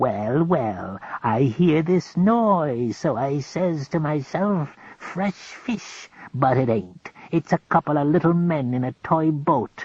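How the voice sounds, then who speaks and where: In a put-on character voice, a man growls at a fairly high pitch with a gravelly sound. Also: fairly slow pace. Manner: sneering.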